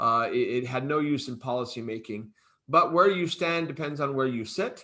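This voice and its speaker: A man speaks with an Arizona accent. His pitch is fairly high and his pace moderate. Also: ordinary pitch variation. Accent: American, Arizona. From US, Arizona. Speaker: think tank head. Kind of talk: panel discussion.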